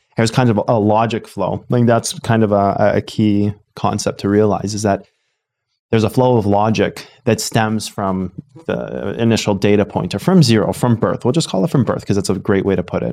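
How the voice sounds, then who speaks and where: In a very clean recording with a silent background, a man with a dark, mellow tone speaks at a moderate pace with ordinary pitch variation. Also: fairly low pitch for a man. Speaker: trading educator and podcast host. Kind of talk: casual educational chat.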